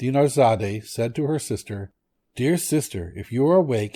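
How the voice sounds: Quiet background behind a natural reading voice.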